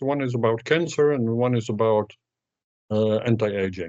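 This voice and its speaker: At a moderate pace, a man with medium pitch talks in an ordinary speaking voice. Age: 60s. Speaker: sprint coach and author. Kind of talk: interview.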